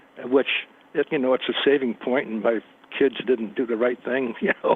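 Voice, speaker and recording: At a moderate pace, a man speaks with a medium pitch and fairly even intonation against noticeable background noise. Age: 70s. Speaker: caller, retiree. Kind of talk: phone-in question. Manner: halting; calm.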